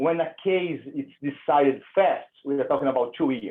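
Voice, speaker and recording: A man with a Brazilian Portuguese accent speaks at a fairly high pitch with ordinary pitch variation. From Brazil, São Paulo. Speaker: immigration attorney. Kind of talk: webinar presentation. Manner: casual, conversational.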